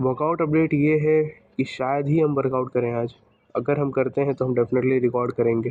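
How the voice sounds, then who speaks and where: Quiet and at very even loudness, a man speaks at a fairly quick pace in a medium pitch with monotone, flat intonation. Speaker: fitness vlogger. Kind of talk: vlog.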